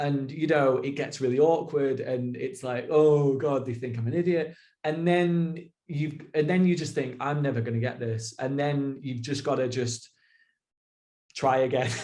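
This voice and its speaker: A man speaks in a British accent with a dark, mellow tone and a fairly high pitch. His pace is moderate and his intonation fairly even. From Britain. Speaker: expat working in education in Japan. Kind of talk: casual conversational interview.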